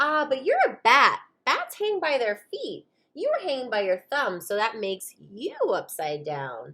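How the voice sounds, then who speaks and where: Loud and high-pitched, a woman uses a put-on character voice at a moderate pace. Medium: read story.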